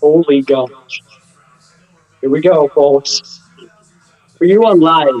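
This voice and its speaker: A man with a fairly high pitch speaks at a very slow pace, using ordinary pitch variation and long, frequent pauses. The sound is dry and close with no echo, and music plays in the background. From Pittsburgh, Pennsylvania. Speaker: sports fan streamer. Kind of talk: casual chat. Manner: animated; loud.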